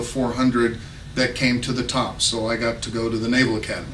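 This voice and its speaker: Noticeable background noise and audible room echo surround the recording. A man with an American accent talks at a fairly quick pace. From Texas. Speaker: congressional candidate. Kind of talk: campaign speech. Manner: halting.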